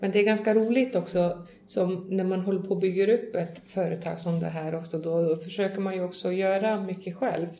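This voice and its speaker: Over noticeable background noise and audible room echo, a woman at medium pitch talks at a fairly quick pace with hardly any pauses and fairly even intonation. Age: 40s. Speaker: horse farm and tourism business owner. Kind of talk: interview. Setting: on location at a farm.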